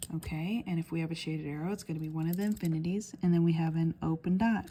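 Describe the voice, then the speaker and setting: A woman's fairly low, dark and mellow voice, somewhat breathy, with fairly even intonation at a very fast pace. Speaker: math teacher. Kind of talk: tutorial. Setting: handheld camera while writing.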